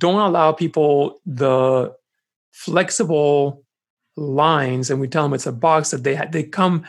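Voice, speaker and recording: A man talks at a fairly slow pace in a very clean recording with a silent background. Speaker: pastor and podcast co-host. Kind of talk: casual chat. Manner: announcer voice at times.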